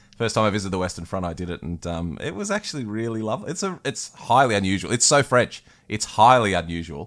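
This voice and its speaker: Very fast and with hardly any pauses, an Australian accent comes through with lively intonation on a very clean recording with a silent background. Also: man, fairly low pitch for a man. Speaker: battlefield historian and podcast host. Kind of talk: casual chat. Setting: outdoors.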